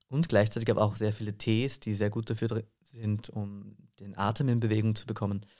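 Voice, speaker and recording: A man with an unremarkable speaking voice talks at a fairly low pitch and a fairly quick pace with fairly even intonation, in a very clean recording with a silent background. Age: 20s. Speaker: voice and singing teacher, actor. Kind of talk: interview.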